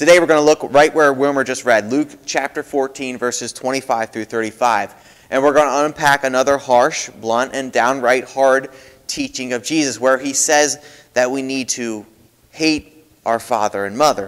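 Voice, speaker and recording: A man speaks at a moderate pace with fairly even intonation against a quiet background. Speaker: pastor. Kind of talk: sermon. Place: church.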